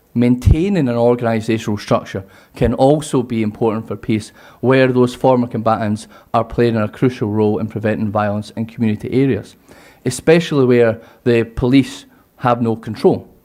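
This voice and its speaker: Speaking at a moderate pace, a man with a medium pitch has a dark, mellow tone and fairly even intonation. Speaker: university lecturer in security studies. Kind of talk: conference presentation.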